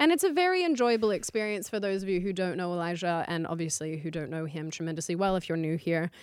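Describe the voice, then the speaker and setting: With an Australian accent, a woman talks at a very fast pace with hardly any pauses, her fairly low pitch showing ordinary variation. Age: 20s. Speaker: political commentary host. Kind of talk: casual chat.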